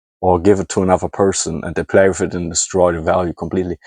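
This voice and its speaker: In a German accent, a man speaks at a very deep, low pitch, the sound dry and close with no echo over a quiet background. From Germany. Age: 20s. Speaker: hobby scrapper and YouTuber. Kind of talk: casual vlog monologue. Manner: halting.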